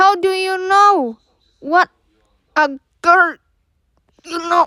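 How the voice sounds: A woman puts on a character voice at an extremely high pitch with a bright, sharp tone. She goes at a very slow pace with ordinary pitch variation.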